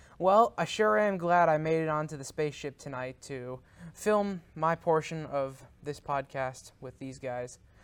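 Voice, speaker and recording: A fairly slow delivery on a very clean recording with a silent background. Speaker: podcast contributor doing an intro. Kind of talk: casual banter.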